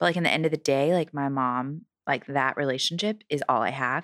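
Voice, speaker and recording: Very deep and low, a woman's voice carries vocal fry and ordinary pitch variation at a very fast pace. The recording is very clean, with a silent background. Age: 20s. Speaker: stylist and photographer. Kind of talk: casual chat.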